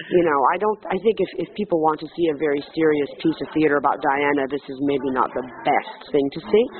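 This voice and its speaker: A woman speaks in a French accent at a fairly quick pace with hardly any pauses, her pitch very deep and low. Noticeable background noise runs beneath her. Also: ordinary pitch variation. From Quebec, Montreal, raised bilingually. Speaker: stage actress. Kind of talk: interview. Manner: hesitant, many fillers and restarts.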